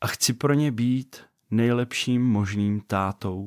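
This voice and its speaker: A man with ordinary pitch variation, a dry, close sound without echo, and a very clean recording over a silent background. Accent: Vysočina. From Czech Republic, Vysočina region. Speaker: podcast host, father and software developer. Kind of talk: podcast introduction monologue. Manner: casual, conversational.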